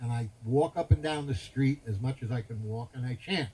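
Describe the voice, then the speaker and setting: A man with an American accent speaks at a moderate pace. His voice is somewhat breathy and medium in pitch. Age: 70s. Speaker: spiritual teacher. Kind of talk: religious talk at a festival. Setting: festival gathering with audience. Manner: animated.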